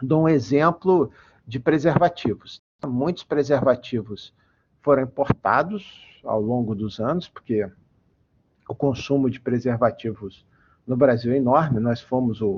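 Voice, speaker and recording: A man speaks at a fairly slow pace with long, frequent pauses. His medium pitch shows ordinary pitch variation. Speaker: engineer and metrology researcher giving a guest lecture. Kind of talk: online lecture. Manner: frequent fillers and repetitions. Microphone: voice cutting out, unstable connection.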